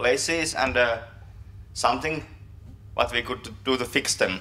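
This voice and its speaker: The man talks at a medium pitch, with ordinary pitch variation. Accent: Finnish. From Finland. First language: Finnish. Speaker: software developer, conference speaker. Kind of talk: conference talk. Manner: halting, many fillers and repetitions.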